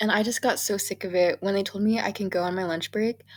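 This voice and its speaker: In a very clean recording with a silent background, a woman speaks in a plain, everyday voice at medium pitch with fairly even intonation. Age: 20s. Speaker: budgeting vlogger, college student. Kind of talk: casual vlog. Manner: chatty, filler-heavy.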